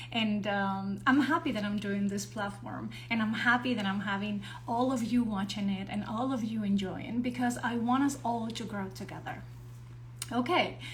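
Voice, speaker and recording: Someone with a non-native accent speaks at a moderate pace, with audible room echo and noticeable background noise. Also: woman. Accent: non-native English accent, improving. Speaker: actor and show host. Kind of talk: live stream introduction.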